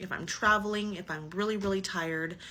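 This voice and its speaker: A woman's medium-pitched voice, bright and sharp in tone with ordinary pitch variation, carries audible room echo. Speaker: person living with multiple sclerosis. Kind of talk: personal testimony. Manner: halting, searches for words; casual, conversational.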